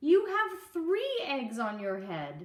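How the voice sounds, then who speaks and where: A high, female-sounding voice. It is a put-on character voice. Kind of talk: bedtime story. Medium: read story. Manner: calm, matter-of-fact.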